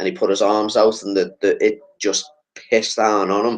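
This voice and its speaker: Talking at a fairly quick pace, a man speaks with a Liverpool accent. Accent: Scouse. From Liverpool, England. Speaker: podcast host. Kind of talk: casual chat.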